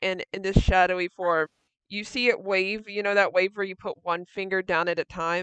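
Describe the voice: This is plain reading aloud with fairly even intonation over a quiet background.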